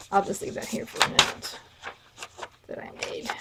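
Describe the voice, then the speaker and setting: A woman against noticeable background noise. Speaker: craft tutorial creator. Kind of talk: tutorial. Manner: casual, with fillers and hesitations.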